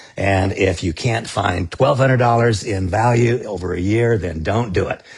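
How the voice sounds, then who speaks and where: With ordinary pitch variation, this man uses an unremarkable speaking voice that sits fairly low. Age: 60s. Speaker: network marketing leader. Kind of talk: sales pitch. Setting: live stream.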